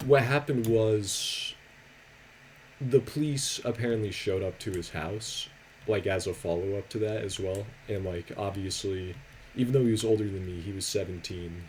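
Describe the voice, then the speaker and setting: Soft-spoken delivery at a moderate pace. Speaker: YouTuber and streamer. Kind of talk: casual storytime commentary. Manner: quiet, soft-spoken.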